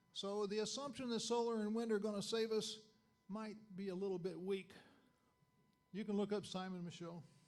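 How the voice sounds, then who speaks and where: Pitched high for a man and with an American accent, he speaks with fairly even intonation and long, frequent pauses, and audible room echo is present. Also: fairly quick pace. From Arkansas, US South. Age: 70s. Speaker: chemical engineer, dinner speaker. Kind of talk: lecture. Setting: dinner meeting audience. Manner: halting, many fillers.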